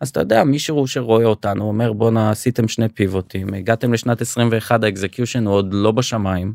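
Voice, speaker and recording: An unremarkable speaking voice, this man talks at a medium pitch and a fairly quick pace with hardly any pauses, fairly even intonation, very even loudness, and a dry, close sound with no echo. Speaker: startup founder and CEO. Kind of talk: podcast interview.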